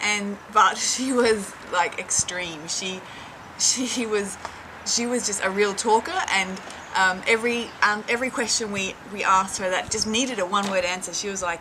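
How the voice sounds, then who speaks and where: With an Australian accent, a woman speaks at a moderate pace and medium pitch with fairly even intonation, against noticeable background noise. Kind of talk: casual anecdote. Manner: chatty, natural.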